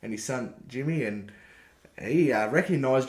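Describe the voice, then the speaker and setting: Audible echo from the room surrounds this voice. A man with an Australian accent speaks at medium pitch. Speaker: podcast co-host. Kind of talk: casual chat.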